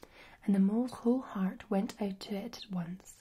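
The speaker is plainly reading aloud.

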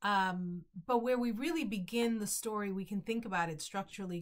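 Over a quiet background, a woman with an American accent sounds somewhat breathy. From Bronx, New York. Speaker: novelist. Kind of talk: author introducing her book to camera. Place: home room. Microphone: webcam.

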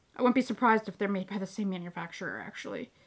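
A woman speaks with ordinary pitch variation. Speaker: crafting vlogger. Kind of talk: casual haul vlog chat. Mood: cheerful, enthusiastic. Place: home room.

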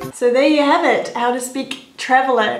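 Music plays in the background as a woman speaks at a high pitch in a monotone, flat delivery, with audible room echo. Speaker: vlogger. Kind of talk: comedic character sketch vlog. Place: home room.

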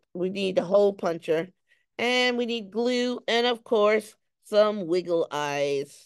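A woman with lively intonation against a quiet background. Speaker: craft teacher. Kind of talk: tutorial. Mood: light, playful. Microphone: phone near.

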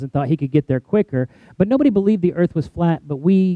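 A man at a very fast pace, ordinary pitch variation, dry sound with no echo and a quiet background. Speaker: pastor. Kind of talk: sermon. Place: church. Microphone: headset.

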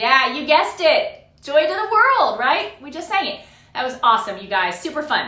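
A woman's raised, projected voice at a fairly slow pace, with audible room echo. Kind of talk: children's ministry game hosting.

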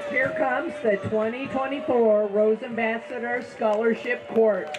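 Clear background music behind a female speaker. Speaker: parade announcer. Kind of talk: event announcing commentary. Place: street.

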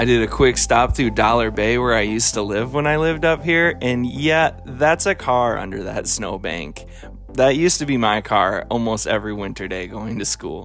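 A man talks at a moderate pace with lively intonation. The sound is dry with no echo, and music plays in the background. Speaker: travel vlogger. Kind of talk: voice-over travel narration.

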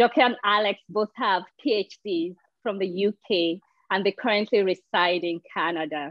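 A woman speaks at a fairly slow pace with ordinary pitch variation. The sound is dry with no echo. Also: quiet background. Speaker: interviewer. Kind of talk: interview. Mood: warm, friendly.

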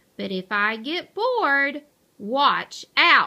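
A woman's put-on character voice, high-pitched, bright and sharp, with vocal fry, big pitch swings and a very slow pace

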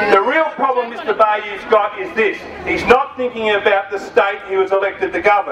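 Someone with an Australian accent talks over noticeable background noise. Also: man. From Australia (Victoria). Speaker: trade union official. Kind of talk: fiery protest-rally speech rousing a crowd against state education cuts. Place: street.

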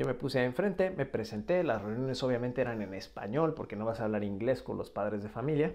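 A man with a Mexican accent talks at a very fast pace with lively intonation and hardly any pauses. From Mexico. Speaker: language teacher and video creator. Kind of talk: casual vlog monologue. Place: home room. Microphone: earbuds.

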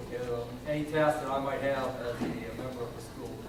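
A man's fairly high voice at a moderate pace with fairly even intonation, amid audible room echo and noticeable background noise. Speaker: school board candidate. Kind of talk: candidate speech at public forum. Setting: public meeting hall with audience, no microphone. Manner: hesitant, many fillers, extemporaneous.

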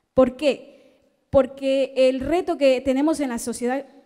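A woman's high pitch with a dark, mellow tone and fairly even intonation over a quiet background. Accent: Ecuadorian. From Ecuador. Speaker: researcher, audience member; audience member. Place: hall.

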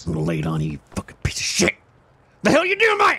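A raspy voice talking at a very fast pace. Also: man. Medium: game stream. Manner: irritable, exasperated.

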